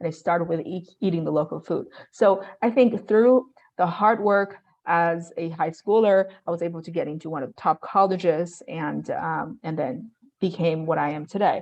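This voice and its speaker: In a Chinese accent, a woman speaks at a moderate pace in a fairly low pitch, with ordinary pitch variation and big swings in loudness. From China. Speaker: real estate investor. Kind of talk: interview. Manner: hesitant, many fillers.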